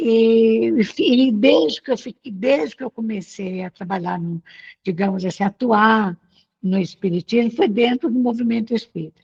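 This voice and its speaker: A woman speaks at a fairly slow pace in a fairly high, somewhat breathy voice with lively intonation, the sound dry and close with no echo. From Brazil, northern Minas Gerais (Pedra Azul, Jequitinhonha Valley). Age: 70s. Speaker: spiritist movement leader. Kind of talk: interview, personal life story. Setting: video call.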